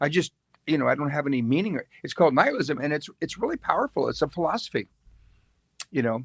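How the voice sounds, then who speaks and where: A man speaks very fast at a fairly high pitch, with lively intonation. Long, frequent pauses break up his speech, and the sound is dry and close with no echo. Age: 70s. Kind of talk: casual faith discussion.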